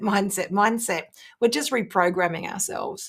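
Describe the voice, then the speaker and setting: At a moderate speed, a woman delivers her words. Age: 50s. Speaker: business strategist and keynote speaker. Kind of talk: interview podcast.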